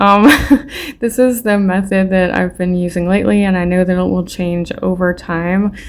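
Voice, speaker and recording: A woman with a normal speaking voice, medium pitch, fairly even intonation and a moderate pace. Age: 30s. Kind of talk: casual talk to camera. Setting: home recording, poor mic.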